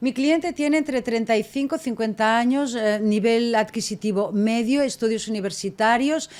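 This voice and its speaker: The recording of this woman is very clean, with a silent background. She talks at a fairly slow pace and a fairly high pitch. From Catalonia, Spain (Tarragona). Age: 50s. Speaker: hospitality consultant. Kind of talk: podcast interview. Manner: animated.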